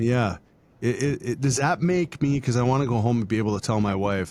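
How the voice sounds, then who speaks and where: At a moderate pace, a man speaks in a normal speaking voice of medium pitch, with lively intonation. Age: 50s. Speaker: podcast host. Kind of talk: interview conversation.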